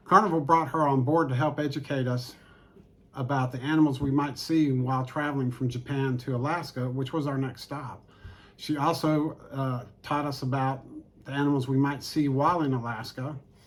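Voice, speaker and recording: Here a man with an unremarkable speaking voice talks at a fairly high pitch. His intonation is fairly even, and his pace is moderate. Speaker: travel vlogger. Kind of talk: casual talk to camera.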